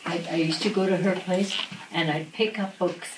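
A woman speaks in a Canadian Prairie accent. Audible room echo and noticeable background noise are both present. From Saskatchewan, Canada. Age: 80s+. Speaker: centenarian school guest. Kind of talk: answering children's questions. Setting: kindergarten classroom.

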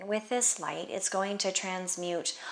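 A woman speaks here. Her pitch is fairly low and her intonation fairly even. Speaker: yoga instructor. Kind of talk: guided meditation with spiritual, prayer-like reflective questions. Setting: home yoga studio, seated on mat. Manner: slow, gentle, soothing invitational pacing; warm, reassuring and contemplative. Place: home room. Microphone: camera far.

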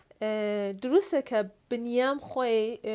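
A woman speaks with ordinary pitch variation. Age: 30s. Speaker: film and stage actress; stage actress. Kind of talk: talk show interview. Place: studio.

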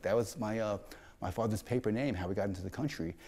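Very fast speech in a dark, mellow tone against a quiet background. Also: man. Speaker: interviewee. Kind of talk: interview answer. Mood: reflective, animated. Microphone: lapel.

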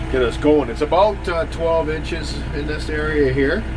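A man talks over noticeable background noise. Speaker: tractor operator homeowner. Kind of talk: casual vlog chat. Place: farm machine. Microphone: phone near.

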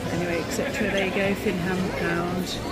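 A woman speaks with a dry sound that has no echo. Music is clearly audible in the background. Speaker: shopping vlogger. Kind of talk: commentary. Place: shop. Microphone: phone near.

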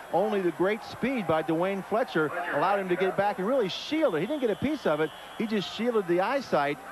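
Noticeable background noise runs under a man who speaks at a fairly quick pace with very wide pitch swings. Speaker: color analyst, former linebacker. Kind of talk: sports color commentary. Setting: broadcast booth at stadium. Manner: analytical, measured, explanatory.

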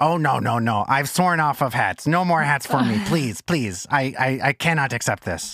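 In a very clean recording with a silent background, a man speaks at a fairly slow pace in a put-on character voice at a medium pitch. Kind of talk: comic character voice in actual play. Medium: actual play. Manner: rambling, sheepish, apologetic; wry, resigned.

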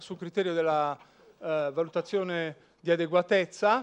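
A man's high-pitched voice shows ordinary pitch variation and holds a moderate pace. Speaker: law professor. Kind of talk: lecture with slides. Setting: lecture hall with audience. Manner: informal, humorous. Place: hall.

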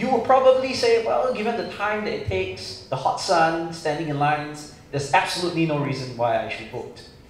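A man with a high pitch speaks at a moderate pace, with light background noise and audible room echo. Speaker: forum moderator. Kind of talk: moderator introduction and opening remarks. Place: hall.

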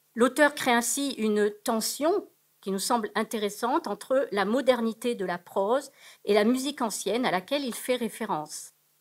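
Against a quiet background, a woman talks at a moderate pace with ordinary pitch variation. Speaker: academic researcher; conference presenter. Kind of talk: conference paper. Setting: auditorium. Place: hall.

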